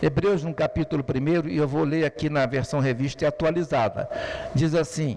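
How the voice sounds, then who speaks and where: With noticeable background noise behind him, a man talks at a moderate pace in a fairly high pitch, keeping his intonation fairly even. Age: 70s. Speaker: preacher. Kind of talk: sermon.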